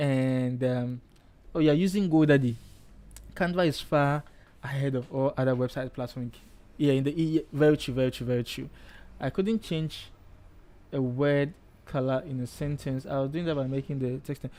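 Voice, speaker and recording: With a dark, mellow tone and a fairly high pitch, a man talks at a moderate pace, leaving long, frequent pauses. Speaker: design tutor, live streamer. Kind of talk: live tutorial. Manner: animated; loud, emphatic.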